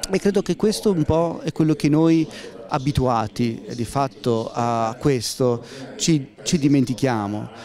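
A man talks at a fairly slow pace in a dark, mellow tone at medium pitch. His pitch variation is ordinary, and faint background noise can be heard.

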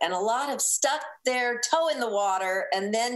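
Lively intonation marks this woman's speech. She keeps a moderate pace. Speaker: food radio host guest. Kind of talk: interview answer. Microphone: video call.

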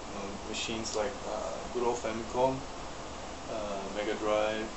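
A man is speaking. Loud background noise is present throughout. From Malaysia. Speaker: YouTuber and retro game collector. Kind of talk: casual vlog monologue. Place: home room. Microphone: webcam.

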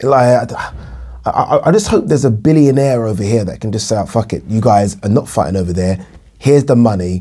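A man speaks at a fairly quick pace in a fairly low, somewhat breathy voice. His tone is dark and mellow, with ordinary pitch variation. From UK. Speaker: boxing commentator vlogger. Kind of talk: casual monologue to camera. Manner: fast talker. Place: home room.

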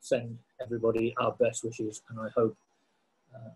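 The man's voice is somewhat breathy. He keeps a moderate pace and fairly even intonation. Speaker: show host. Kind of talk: presenter introduction. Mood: warm, cheerful. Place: home room. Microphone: video call.

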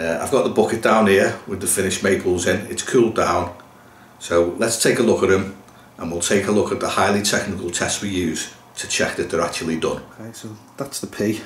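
His intonation fairly even, a man talks at a low pitch. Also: fairly quick pace.

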